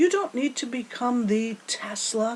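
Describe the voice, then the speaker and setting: This woman speaks at a fairly slow pace, her pitch swinging very widely. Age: 60s. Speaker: motivational speaker. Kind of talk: motivational talk. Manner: animated.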